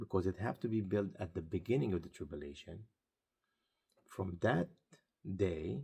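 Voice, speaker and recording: Here a man speaks in a very deep, low voice with a dark, mellow tone and vocal fry. His pace is moderate and his pitch variation is ordinary. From Israel. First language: Arabic or Hebrew. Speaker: pastor. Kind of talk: sermon-style video talk.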